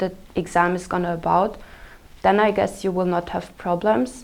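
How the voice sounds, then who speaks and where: The speaker has a German accent and ordinary pitch variation. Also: woman. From Austria. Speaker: exchange student. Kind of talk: interview answers. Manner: halting, many fillers.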